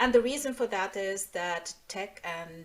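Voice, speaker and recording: The woman speaks with a German accent. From Nigeria (Lagos), German-speaking family. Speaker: tech security engineer and speaker. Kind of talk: online presentation.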